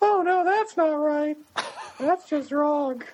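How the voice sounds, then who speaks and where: Someone puts on a squeaky, high character voice. The delivery is fairly slow. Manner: complaining, dismayed.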